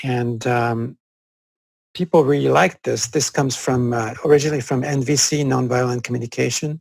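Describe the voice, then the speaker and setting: A man with a French accent speaks at a moderate pace in a medium pitch, his intonation fairly even. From France, Corsica. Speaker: psychologist. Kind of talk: interview conversation. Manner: halting, many fillers.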